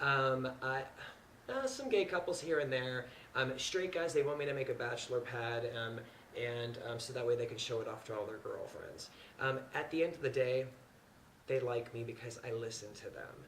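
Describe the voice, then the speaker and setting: A man with an American accent speaks at a moderate pace and medium pitch, his pitch varying in an ordinary way, with audible room echo and noticeable background noise. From US Midwest, Indiana. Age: 30s. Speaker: interior designer. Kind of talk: audition talk to camera. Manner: casual, hesitant with many fillers.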